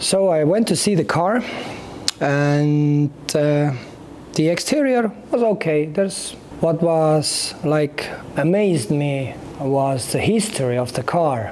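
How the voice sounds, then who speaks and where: The speech moves at a fairly slow pace while noticeable background noise carries on beneath it. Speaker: car YouTuber. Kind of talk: casual vlog. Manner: halting.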